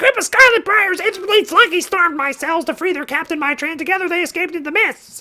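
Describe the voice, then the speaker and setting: A man puts on a squeaky character voice at an extremely high pitch, speaking at a very fast pace. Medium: game stream. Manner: blunt, read-aloud.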